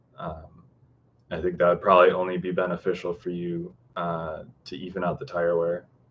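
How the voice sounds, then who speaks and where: A man speaks in an unremarkable speaking voice with an American accent. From Chicago, US Midwest. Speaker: car tuning YouTuber. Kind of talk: livestream Q&A. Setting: livestream. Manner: casual, filler-heavy.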